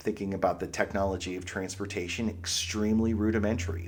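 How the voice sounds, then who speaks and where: The speaker has a slight Pittsburgh accent and fairly even intonation at a moderate pace. Audible room echo surrounds the voice. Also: man. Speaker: history lecturer, podcast host. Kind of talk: lecture. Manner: conversational, with fillers and restarts.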